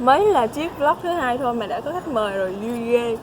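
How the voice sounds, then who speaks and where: Over noticeable background noise, the speaker moves at a fairly slow pace with lively intonation. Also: woman. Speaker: vlogger, international student. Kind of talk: casual vlog talk.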